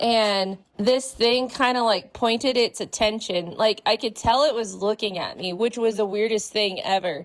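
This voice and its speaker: A woman with an ordinary speaking voice, fairly high pitch, ordinary pitch variation and hardly any pauses. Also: moderate pace, very clean recording, silent background. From California and Hawaii. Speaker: paranormal storyteller. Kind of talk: casual interview, personal ghost story.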